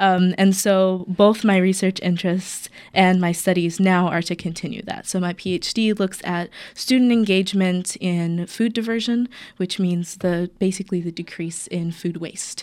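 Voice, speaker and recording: In a very clean recording with a silent background, a woman with an American accent speaks at a moderate pace and medium pitch with fairly even intonation, in an ordinary speaking voice. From US South, North Carolina. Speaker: PhD student and mosque youth volunteer. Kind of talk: radio interview.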